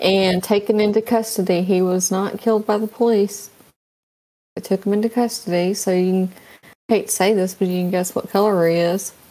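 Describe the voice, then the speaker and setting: Soft-spoken and monotone, a woman talks at a fairly quick pace with flat intonation, a medium pitch and a dark, mellow tone. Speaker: podcast co-host. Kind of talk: casual chat. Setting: remote call on a livestream.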